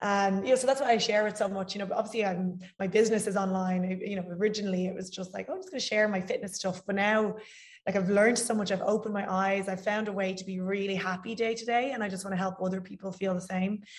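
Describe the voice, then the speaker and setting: Somewhat breathy and monotone, this voice with an Irish accent moves at a very fast pace. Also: woman, medium pitch for a woman. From Ireland. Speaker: fitness coach. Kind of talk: casual interview chat.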